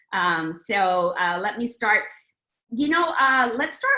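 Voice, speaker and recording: Her fairly high-pitched voice moves through very wide pitch swings as the woman speaks. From India, moved to the US in 1967 as a child. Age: 60s. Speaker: novelist. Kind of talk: author talk with Q&A.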